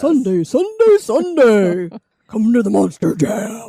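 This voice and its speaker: A put-on character voice, fairly high in pitch and fairly slow in pace. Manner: loud, booming, hyped.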